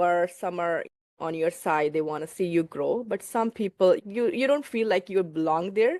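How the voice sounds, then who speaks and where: Against a quiet background, a woman with a non-native accent speaks at a moderate pace and medium pitch with ordinary pitch variation, the sound dry and close with no echo. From small town in India. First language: not English. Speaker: nurse and real estate investor. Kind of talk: interview.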